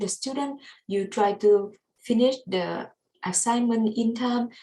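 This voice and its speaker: A woman speaks with a Vietnamese accent. Her tone is dark and mellow, and somewhat breathy. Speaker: student. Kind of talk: class presentation. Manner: halting.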